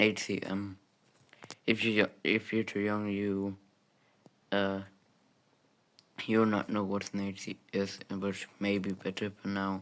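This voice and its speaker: Delivered at a very slow pace with long, frequent pauses, the speech has a monotone, flat intonation. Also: man, fairly low pitch for a man. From Germany. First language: German. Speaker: gaming YouTuber. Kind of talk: gameplay commentary. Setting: home recording room with soundproof foam. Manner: halting, many fillers. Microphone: new gaming mic, clearer sound.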